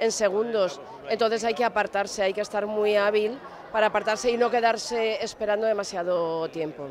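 Crowd noise fills the background as a woman speaks with ordinary pitch variation in a dry sound with no echo. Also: moderate pace. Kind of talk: interview answer. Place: street. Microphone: handheld.

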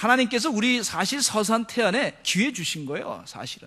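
A man speaks in a raised, projected voice at a high pitch. His tone is bright and sharp, and the background is quiet. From South Korea, Seoul. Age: 40s. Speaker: pastor. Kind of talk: sermon. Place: church. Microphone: podium.

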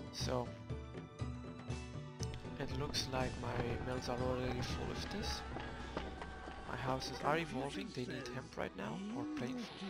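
Over loud background music, the speaker goes at a fairly slow pace with long, frequent pauses, and the sound is dry with no echo. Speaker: gamer. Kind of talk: video game commentary.

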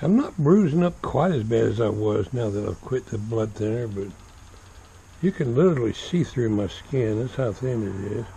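Lively intonation marks this man's speech in a Southern US accent. He talks at a moderate pace and sounds somewhat breathy. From US South, Florida. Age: 70s. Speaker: vlogger. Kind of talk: casual vlog monologue. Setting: outdoors. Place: garden. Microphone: phone near.

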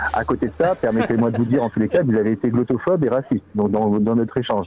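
The speech comes at a very fast pace with lively intonation over light background noise. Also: man. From Corsica, Ajaccio; Corsica. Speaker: company phone employee. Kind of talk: phone call. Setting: phone call. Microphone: phone line.

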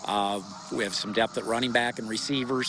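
At a fairly quick pace with ordinary pitch variation, the voice has a dry sound with no echo amid noticeable background noise. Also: man. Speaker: high school football coach. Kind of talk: interview answer. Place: open country. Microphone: handheld.

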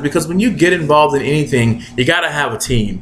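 At a moderate pace, a man with a fairly high pitch speaks with lively intonation over light background noise. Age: 20s. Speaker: online marketer. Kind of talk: motivational video blog. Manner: animated. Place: home room. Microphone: webcam.

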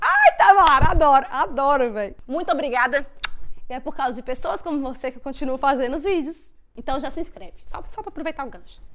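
A woman's high, animated voice at a fairly quick pace, lively in intonation, with big swings in loudness and noticeable background noise. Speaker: YouTuber and au pair. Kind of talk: casual chat.

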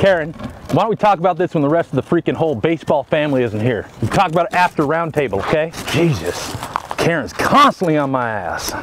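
Light background noise accompanies a man speaking in a dry sound with no echo. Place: stadium. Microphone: lapel.

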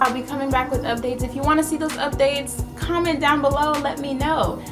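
Fairly quick speech over clear background music. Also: woman. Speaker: beauty vlogger. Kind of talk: casual vlog chat. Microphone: phone near.

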